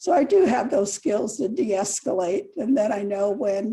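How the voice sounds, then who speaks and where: Fairly high in pitch yet dark and mellow in tone, a woman speaks at a fairly slow pace, somewhat breathy, with lively intonation. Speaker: council candidate. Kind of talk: candidate forum answer.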